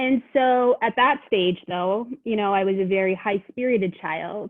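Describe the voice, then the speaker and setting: A woman with a Canadian accent speaks in an unremarkable speaking voice. Her pitch sits in the middle range and varies in an ordinary way. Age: 40s. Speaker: social worker. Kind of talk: podcast interview.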